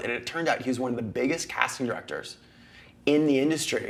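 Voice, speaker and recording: A man with an American accent at medium pitch, talking very fast over noticeable background noise. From United States. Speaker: actor and talk show host. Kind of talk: casual interview chat. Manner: animated.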